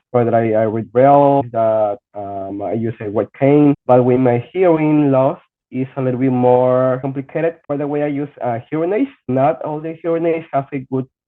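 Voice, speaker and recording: A man with a Spanish accent, medium pitch, a moderate pace and hardly any pauses. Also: ordinary pitch variation. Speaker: blind student with hearing loss. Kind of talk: podcast interview. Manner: halting.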